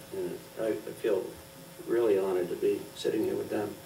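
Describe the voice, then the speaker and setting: A man speaks at a moderate pace over noticeable background noise, with audible room echo. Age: 70s. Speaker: local election candidate, planning board. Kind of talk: candidates forum closing remarks.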